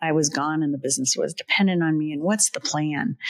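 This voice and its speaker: A woman with a plain, everyday voice speaks with ordinary pitch variation, recorded dry and close with no echo. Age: 60s. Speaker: podcast host, business consultant. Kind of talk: podcast conversation, storytelling.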